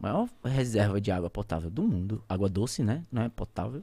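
In a very clean recording with a silent background, a man speaks at a moderate pace in a dark, mellow tone. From Santarém, Pará, Brazilian Amazon. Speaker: pilot and plane crash survivor. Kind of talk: casual interview storytelling.

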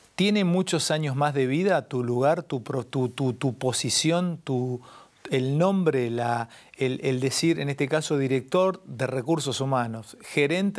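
In a quiet background, a man with an unremarkable speaking voice talks at a fairly slow pace, using a fairly high pitch and ordinary pitch variation. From Argentina. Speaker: interview show host; interview host. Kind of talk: interview conversation. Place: studio. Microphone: lapel.

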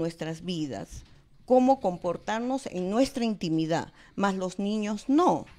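Her intonation lively, a woman delivers her words at a fairly slow pace. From Peru. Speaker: political candidate, dentist; candidate. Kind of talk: election debate. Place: studio. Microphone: handheld.

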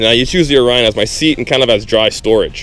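Over faint background music, a man talks at a very fast pace, the sound dry with no echo. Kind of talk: tutorial. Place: waterside. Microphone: phone near.

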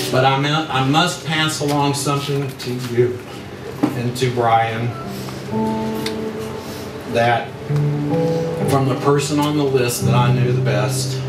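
A man speaks at a fairly slow pace with long, frequent pauses. Music plays in the background. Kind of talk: wedding toast speech. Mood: emotional, tender remembrance. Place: hall.

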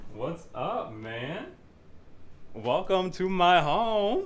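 A man puts on a character voice, pitched high and swinging widely up and down as he talks at a very slow pace.

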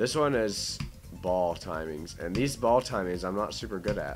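Music plays in the background as a man speaks. His pace is moderate and his intonation lively. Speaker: gamer. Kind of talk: gameplay commentary. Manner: casual.

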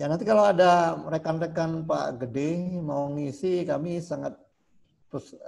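This man speaks at a moderate pace. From Jember, East Java. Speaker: school administrator. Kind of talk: formal speech. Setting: video call. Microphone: video call.

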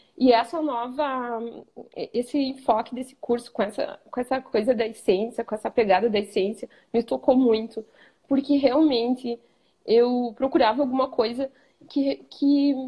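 A woman with a southern Brazilian accent speaks at a fairly slow pace and a high pitch, with a dark, mellow tone and ordinary pitch variation against a quiet background. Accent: gaúcho. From southern Brazil (Rio Grande do Sul). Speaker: image consultant student. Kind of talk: live stream interview. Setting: live video stream. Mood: reflective, warm. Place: home room. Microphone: video call.

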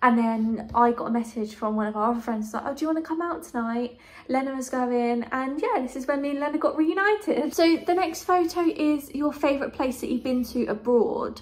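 A woman's high-pitched voice with a southern English accent, lively intonation, a fairly quick pace and hardly any pauses. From southern England, Kent; southern England. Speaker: YouTuber; vlogger. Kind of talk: casual vlog monologue. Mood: warm, cheerful. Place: home room. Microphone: phone near.

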